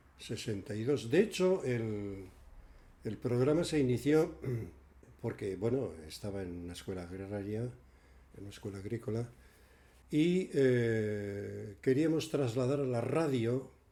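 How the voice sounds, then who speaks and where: Speaking at a very slow pace, a man uses a dark, mellow, medium-pitched voice with big swings in loudness. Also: lively intonation. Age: 80s+. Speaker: radio presenter and senior centres coordinator. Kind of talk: interview. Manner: halting.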